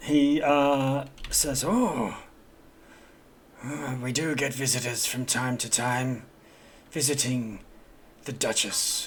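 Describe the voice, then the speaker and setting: Putting on a raspy character voice at a medium pitch, a man speaks very slowly with long, frequent pauses, and audible echo can be heard. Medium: actual play. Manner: formal, hesitant.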